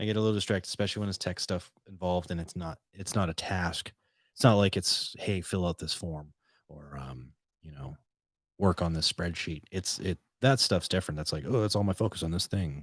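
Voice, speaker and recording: Very deep and low, a man's voice with an American accent moves at a fairly quick pace with ordinary pitch variation, recorded very cleanly over a silent background with a dry, close sound and no echo. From Boston. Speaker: podcast host. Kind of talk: casual solo podcast chat. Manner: casual, rambling with self-corrections.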